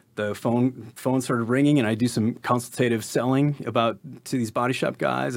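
A man talks fairly quickly in a normal speaking voice, his pitch varying in an ordinary way. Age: 50s. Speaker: musician and business owner. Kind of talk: casual chat. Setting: studio.

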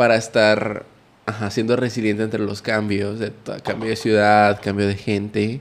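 Here is a man with a plain, everyday voice. He speaks at a fairly slow pace in a medium pitch. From Nuevo León, Mexico. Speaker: podcast guest. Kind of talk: casual chat.

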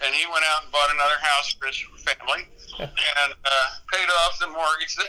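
A man with an American accent and a bright, sharp tone, fairly high-pitched, at a moderate pace with ordinary pitch variation. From US Midwest (central Iowa). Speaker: rock tour manager and music photographer. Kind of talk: casual interview storytelling. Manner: relaxed, carefree storytelling.

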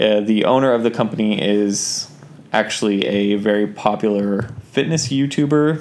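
The voice belongs to a man. Behind him there is noticeable background noise. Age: 20s. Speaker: podcast co-host, operations manager at a clothing company. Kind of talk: casual chat. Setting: home recording.

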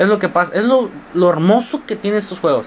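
A man's animated voice at a very fast pace amid noticeable background noise. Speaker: student podcaster. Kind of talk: casual monologue.

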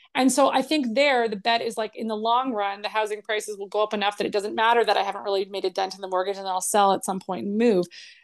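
Against a quiet background, a woman with a Canadian accent talks very fast at a medium pitch, with fairly even intonation and hardly any pauses. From Canada, Toronto suburbs. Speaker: financial planner. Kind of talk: casual interview. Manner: calm.

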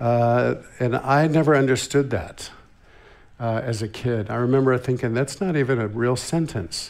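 In an American accent, a man talks at a medium pitch with ordinary pitch variation, and the room echo is audible. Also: moderate pace. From US West Coast, Santa Barbara, California. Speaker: visiting church minister. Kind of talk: sermon. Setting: church.

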